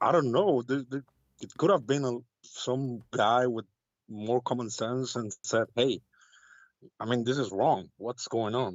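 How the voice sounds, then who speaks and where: In an Arabic accent, a man talks at a fairly slow pace and a medium pitch. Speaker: caller. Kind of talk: call-in debate. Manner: halting.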